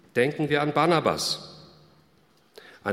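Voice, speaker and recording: Speaking at a fairly high pitch, a man talks. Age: 60s. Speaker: pastor. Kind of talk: sermon.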